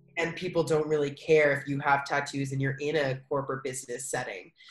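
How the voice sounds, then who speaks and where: Somewhat breathy and very deep in pitch for a woman, she speaks with an American accent at a moderate pace and with fairly even intonation. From US, Philadelphia. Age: 20s. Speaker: English and yoga teacher. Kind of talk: casual interview chat.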